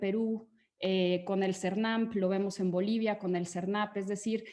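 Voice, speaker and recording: This woman talks at a moderate pace with a medium pitch. Her intonation stays monotone and flat. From Mexico. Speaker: conservation foundation advisor. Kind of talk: webinar panel talk. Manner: hesitant with frequent fillers.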